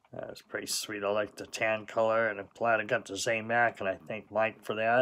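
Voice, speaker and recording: A man speaks in a relaxed tone with a monotone, flat intonation. His pace is fairly quick, with hardly any pauses. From Southern California. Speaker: diecast collector YouTuber. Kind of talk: unboxing video, casual monologue. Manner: relaxed, with sighs and fillers. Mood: pleased, relaxed. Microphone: phone near.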